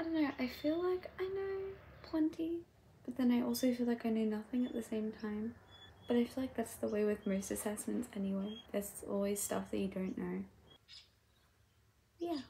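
Over light background noise, a woman talks at a moderate pace, her pitch swinging very widely between long, frequent pauses. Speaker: university student vlogger. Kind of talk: casual vlog chat. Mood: nervous about assessment. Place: home room. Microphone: phone near.

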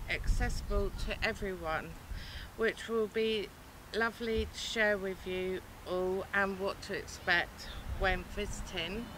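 A woman speaks over noticeable background noise, the sound dry with no echo. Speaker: travel vlogger. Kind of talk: casual vlog chat. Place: station.

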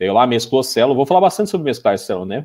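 A man's medium-pitched voice, dark and mellow in tone, moves with lively intonation against a quiet background. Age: 30s. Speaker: Excel instructor. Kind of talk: tutorial. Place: home room. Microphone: webcam.

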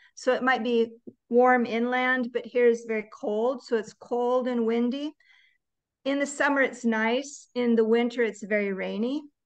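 A woman's high, monotone voice with flat intonation and an American accent, at a moderate pace against a quiet background. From United States. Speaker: native English conversation trainer. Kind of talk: casual chat. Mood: warm, encouraging. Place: home room. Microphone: video call.

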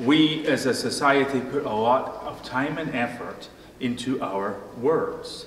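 A man with ordinary pitch variation, audible room echo and light background noise. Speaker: pastor. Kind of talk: sermon. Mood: light humorous wordplay. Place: church.

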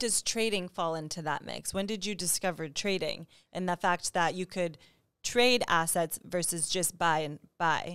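Speaking at a moderate pace, a woman has a fairly low pitch with ordinary variation and an animated tone. The recording is very clean, with a silent background. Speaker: trading channel interviewer. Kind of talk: interview. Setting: studio.

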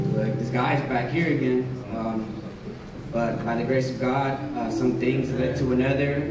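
A man speaks with an American accent. The recording has noticeable background noise and audible room echo. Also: moderate pace. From Texas, Dallas. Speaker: addiction recovery program resident. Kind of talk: testimony. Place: church.

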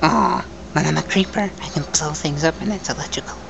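Loud background noise sits behind this put-on character voice. The pace is fairly quick. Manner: whispering.

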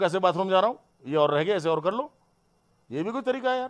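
A man speaks at a high pitch with an animated tone and lively intonation. The background is quiet. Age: 50s. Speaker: politician. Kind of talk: heated statement to the press. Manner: animated, indignant. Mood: defensive, indignant. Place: home room. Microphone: handheld.

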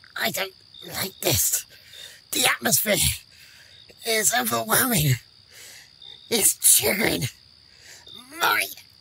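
The speaker uses a put-on character voice at a middle pitch. The pace is fairly slow, with long, frequent pauses. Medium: audio drama.

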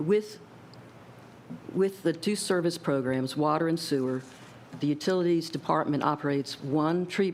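A soft-spoken woman with a fairly low pitch. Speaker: government budget analyst. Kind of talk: formal presentation.

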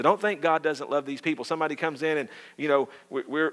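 A man speaks at a fairly high pitch with a Southern US accent. His pace is fairly quick. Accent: Southern American. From US South. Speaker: pastor. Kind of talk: sermon. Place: church.

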